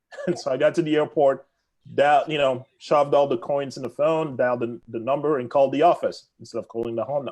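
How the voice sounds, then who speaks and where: A man speaks with a Congolese accent and ordinary pitch variation. The background is quiet. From Democratic Republic of the Congo. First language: French. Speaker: real estate agent. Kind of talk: podcast interview.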